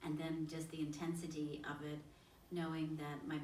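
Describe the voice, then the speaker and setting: A soft-spoken woman's very deep, low voice, monotone and flat, somewhat breathy, with audible room echo. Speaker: spiritual channeler. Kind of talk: group discussion. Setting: on location in Egypt.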